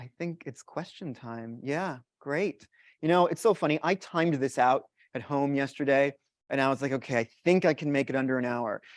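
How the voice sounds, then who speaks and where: A man's voice with ordinary pitch variation, dry and close with no echo, over a quiet background. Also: big swings in loudness. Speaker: university IT staff and composer giving a guest talk. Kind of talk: lecture. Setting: lecture hall with audience. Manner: fast; filler-heavy.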